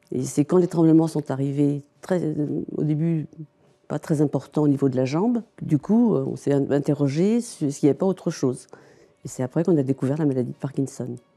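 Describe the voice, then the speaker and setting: A woman with a very deep, low pitch and a dark, mellow tone speaks at a moderate pace with ordinary pitch variation. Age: 60s. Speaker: Parkinson's patient. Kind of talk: testimony. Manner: hesitant.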